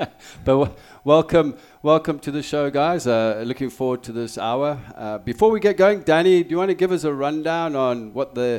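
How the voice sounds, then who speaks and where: Speaking with a South African accent, a man with a fairly high pitch uses lively intonation at a moderate pace. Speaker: sports radio host. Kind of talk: casual chat.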